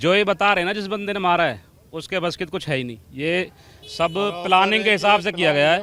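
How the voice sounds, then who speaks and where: A man's high-pitched voice rises and falls with ordinary variation. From Faridabad, Haryana. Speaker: protest supporter. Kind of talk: street interview statement.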